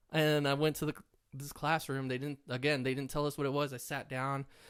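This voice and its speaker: An animated man speaks at a fairly quick pace with an American accent. The recording is very clean, with a silent background. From Texas (Laredo, border town). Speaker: comedian and metal musician. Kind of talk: casual chat.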